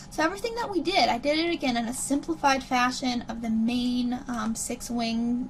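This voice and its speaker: Noticeable noise sits in the background while the speaker goes at a moderate speed, the pitch rising and falling in an ordinary way. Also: woman. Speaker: animation instructor. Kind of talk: software tutorial.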